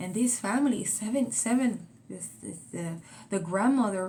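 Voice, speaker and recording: Whispering in a Spanish accent, a woman speaks at a fairly slow pace, somewhat breathy, with audible room echo. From Puerto Rico, moved to Florida at 13. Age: 40s. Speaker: vlogger. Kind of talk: casual vlog monologue.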